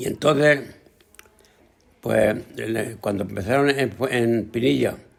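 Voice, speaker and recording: Vocal fry from a man with fairly even intonation. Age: 80s+. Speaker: retired farmer. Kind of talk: testimony.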